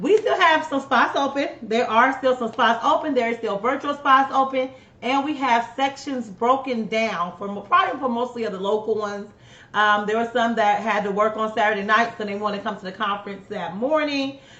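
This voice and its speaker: A woman with a Southern US accent speaks fairly quickly at a fairly high pitch, with ordinary pitch variation. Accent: US South. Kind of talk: live stream announcements. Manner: fast.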